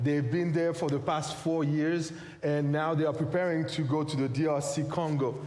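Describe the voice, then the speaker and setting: A man with a fairly high pitch is heard through audible room echo and noticeable background noise. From Haiti. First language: French or Haitian Creole. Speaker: pastor and missionary. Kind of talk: sermon.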